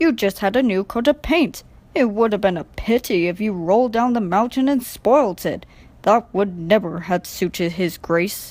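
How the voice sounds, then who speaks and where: Using a put-on character voice, a woman talks in a gruff tone at medium pitch and a moderate pace. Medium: read story. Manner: stolid, gruff.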